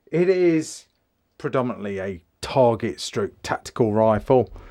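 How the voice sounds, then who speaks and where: A man with an English accent, medium pitch and a fairly slow pace, on a very clean recording with a silent background. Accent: English, mistaken for Australian by viewers. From England. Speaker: firearms reviewer. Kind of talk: product review. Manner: casual, conversational.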